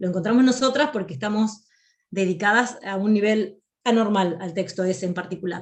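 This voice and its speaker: Against audible room echo, a woman speaks in a somewhat breathy voice with ordinary pitch variation. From Argentina, Río de la Plata region (provincial). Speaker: academic writing instructor. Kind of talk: lecture. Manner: clear; frequent hesitation fillers.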